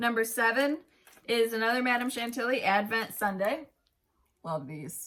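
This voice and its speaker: Loud and animated, a woman speaks at a moderate pace with lively intonation and a bright, sharp tone, leaving long, frequent pauses. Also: fairly high pitch for a woman. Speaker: cross-stitch video host. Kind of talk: casual chat, giveaway announcement.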